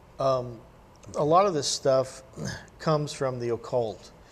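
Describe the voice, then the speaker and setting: This man has a normal speaking voice at a medium pitch. He keeps a moderate pace and ordinary pitch variation. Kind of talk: critical commentary on a film. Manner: measured, explanatory.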